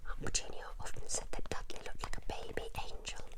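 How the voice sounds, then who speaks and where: Someone whispers over noticeable background noise. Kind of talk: whispered ASMR book reading. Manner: whispered, soft.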